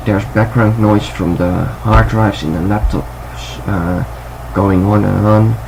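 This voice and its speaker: A man with a Dutch accent speaks at a very deep, low pitch that swings very widely. Noticeable background noise and audible room echo run through the recording. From Netherlands. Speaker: music production youtuber. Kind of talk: tutorial. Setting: home, window open. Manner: halting. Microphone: laptop recording, low quality.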